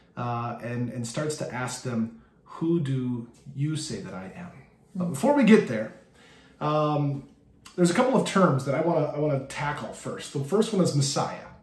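With audible room echo, a man talks at a moderate pace with big swings in loudness. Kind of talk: bible study teaching. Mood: warm, light humor. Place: home room. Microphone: phone near.

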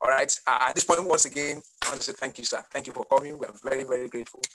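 Very fast speech from a man. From Nigeria. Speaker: webinar host, consulting CEO; webinar host. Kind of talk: webinar hosting. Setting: video call. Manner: animated. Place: home room. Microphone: video call.

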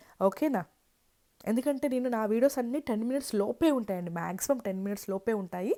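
A woman sounds animated at a fairly high pitch with ordinary pitch variation, the sound dry and close with no echo. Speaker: travel vlogger. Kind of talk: travel vlog narration.

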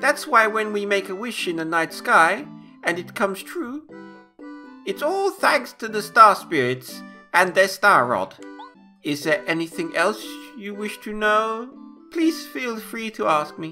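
In a put-on character voice, a man speaks fairly slowly in a high, raised, projected tone with long, frequent pauses and faint music in the background. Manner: pompous, storytelling.

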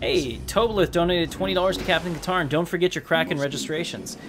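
A man talks at a moderate pace in a fairly high pitch with ordinary pitch variation. It is an ordinary speaking voice. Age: 30s. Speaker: gaming streamer. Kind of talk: live gameplay commentary. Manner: casual.

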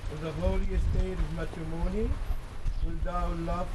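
Amid noticeable background noise, a man talks at a fairly slow pace. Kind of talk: ceremony liturgy reading. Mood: solemn and formal. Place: garden. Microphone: old recording.

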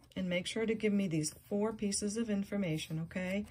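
A woman speaks at a moderate pace in a somewhat breathy voice with lively intonation over light background noise. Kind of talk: casual vlog chat. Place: home room. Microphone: phone near.

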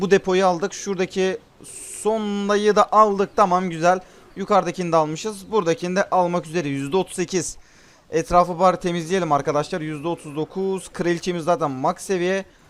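Fairly quick pace with fairly even intonation. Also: man, high pitch for a man. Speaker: gaming youtuber. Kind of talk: gameplay commentary. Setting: recording at night at home. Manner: subdued, not shouting.

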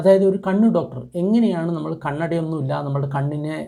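This man's voice has a dark, mellow tone and is somewhat breathy. His pitch sits fairly high and varies in an ordinary way. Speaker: traditional medicine youtuber. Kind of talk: tutorial.

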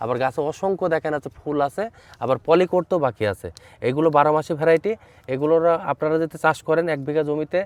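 A man with an ordinary speaking voice and a fairly high pitch is heard in a dry, close sound with no echo. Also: ordinary pitch variation. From Bangladesh, Chuadanga district. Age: young. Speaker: fruit farmer and nursery owner. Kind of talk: field interview. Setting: outdoors in an orchard.

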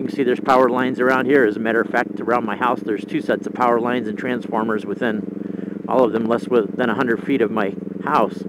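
A man talks at a very fast pace with loud background noise. The sound is dry, with no echo. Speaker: rider podcaster. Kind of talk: casual vlog chat. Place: motorbike.

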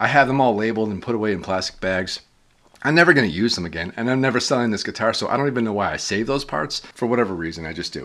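Very fast, raspy put-on character voice from a man at a medium pitch. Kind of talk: casual vlog chat. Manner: talking too fast.

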